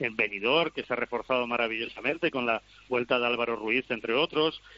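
A man's unremarkable speaking voice at a fairly quick pace with ordinary pitch variation. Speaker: handball pundit. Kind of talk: debate panel.

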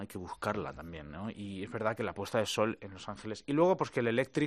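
Male voice with vocal fry and very wide pitch swings. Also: quiet background. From Spain (Madrid). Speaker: guitarist. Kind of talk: interview. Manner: halting.

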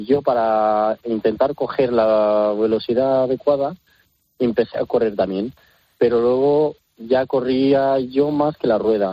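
A man speaks very slowly at a medium pitch. His intonation stays fairly even. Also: very even loudness. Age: young. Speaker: circus trapeze artist. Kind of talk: interview. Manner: halting.

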